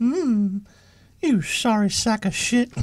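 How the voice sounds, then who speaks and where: Fairly high pitch marks this voice. It is a put-on character voice. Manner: creepy.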